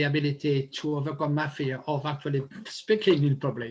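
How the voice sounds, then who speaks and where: Speaking at a fairly quick pace, a man with a fairly high pitch has a strong non-native accent. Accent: strong foreign. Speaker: public speaker. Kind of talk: interview. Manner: fast; halting.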